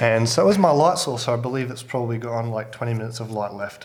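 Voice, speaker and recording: A man with an Australian accent. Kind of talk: casual talk during recording session. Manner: joking, self-deprecating.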